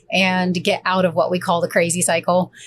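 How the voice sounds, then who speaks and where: This woman speaks at a fairly quick pace in an American accent, her medium-pitched voice somewhat breathy. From Tennessee, US South. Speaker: high performance coach. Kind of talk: podcast interview.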